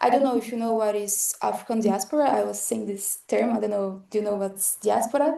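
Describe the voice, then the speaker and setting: Her voice has a dark, mellow tone, and this woman's pitch varies in an ordinary way. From Brazil. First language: Portuguese. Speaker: academic presenter, motion designer. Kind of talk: lecture. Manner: halting, frequent fillers.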